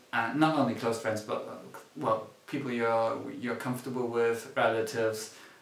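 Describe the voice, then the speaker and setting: With a German accent, a man speaks in a flat monotone and hardly pauses. The recording carries noticeable background noise and audible room echo. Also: medium pitch for a man, moderate pace. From Germany. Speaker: student writer and screenwriter. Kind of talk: casual chat. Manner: halting.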